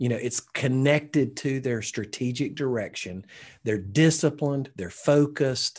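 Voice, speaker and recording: Against a quiet background, a medium-pitched man with a Southern US accent talks at a moderate pace. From Alabama, US South. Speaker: pastor and leadership coach. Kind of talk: interview.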